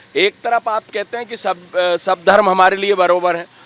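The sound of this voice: At a moderate pace, a man talks in a high pitch with a fairly bright tone and ordinary pitch variation, the sound dry and close with no echo.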